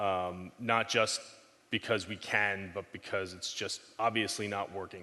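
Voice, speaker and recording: Behind this man, all is quiet. His tone is bright and sharp. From New York. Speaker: technology strategist. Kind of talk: conference talk. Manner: fast.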